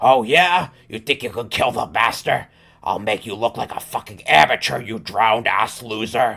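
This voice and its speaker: A man growls in a put-on character voice at a medium pitch. He keeps a moderate pace and ordinary pitch variation. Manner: sneering.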